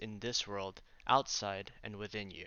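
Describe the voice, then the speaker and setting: An unremarkable speaking voice delivers the words at a moderate pace. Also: man. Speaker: artist. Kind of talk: casual talk to camera.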